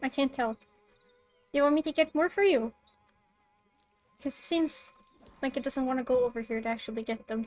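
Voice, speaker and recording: A woman talks fairly quickly in a high voice with ordinary pitch variation, leaving long, frequent pauses. Music plays in the background, and the sound is dry and close with no echo. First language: Swedish. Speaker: streamer. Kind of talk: casual gameplay stream commentary. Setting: live stream.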